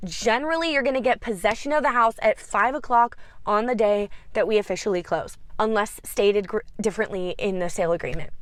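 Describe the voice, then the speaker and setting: A woman with a fairly high pitch, lively intonation, a fairly quick pace and very even loudness. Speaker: real estate agent. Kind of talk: tutorial. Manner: fast.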